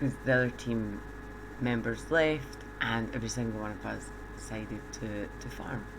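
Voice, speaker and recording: Soft-spoken delivery at a moderate pace amid noticeable background noise. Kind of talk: game tutorial commentary.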